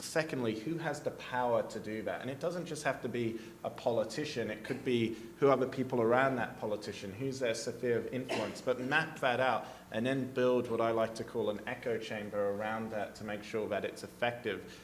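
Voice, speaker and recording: Noticeable background noise and audible room echo surround the speaker. A man talks at a medium pitch with fairly even intonation. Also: fairly quick pace. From Australia. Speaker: policy advocate, panelist. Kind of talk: panel discussion. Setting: conference stage with audience.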